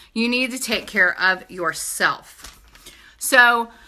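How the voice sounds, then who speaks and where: An American woman with a fairly high pitch and a bright, sharp tone speaks with lively intonation. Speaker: direct sales entrepreneur. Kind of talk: sales pitch. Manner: animated, casual.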